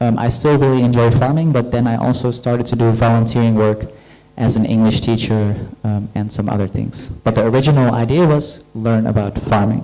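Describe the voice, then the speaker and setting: A man's medium-pitched voice with a Dutch accent, fairly even intonation and a moderate pace, plus music in the background and audible room echo. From Netherlands. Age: 30s. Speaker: guest lecturer. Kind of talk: lecture Q&A. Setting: university lecture hall with audience.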